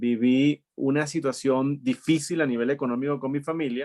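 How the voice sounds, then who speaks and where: A man with a fairly high pitch speaks at a moderate pace in a plain, everyday voice, the sound dry and close with no echo. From Venezuela (Maturín, studied in Caracas). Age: 40s. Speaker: entrepreneur. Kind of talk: interview conversation.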